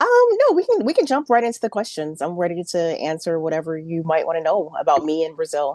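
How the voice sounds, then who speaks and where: With hardly any pauses, a woman rattles along at a very fast pace in an American accent. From Chicago, Illinois. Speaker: journalist. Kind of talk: interview.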